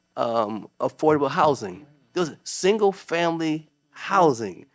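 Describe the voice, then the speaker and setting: Speaking fairly slowly with an American accent, a man has a fairly high pitch that swings very widely. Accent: inner city. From US Northeast, Waterbury, Connecticut. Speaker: judge and author. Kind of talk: casual chat. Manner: halting, many fillers.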